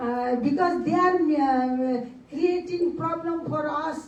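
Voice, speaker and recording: Amid noticeable background noise and audible room echo, a woman speaks at a very slow pace with ordinary pitch variation. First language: not English. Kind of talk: panel talk. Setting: conference side event. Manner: halting.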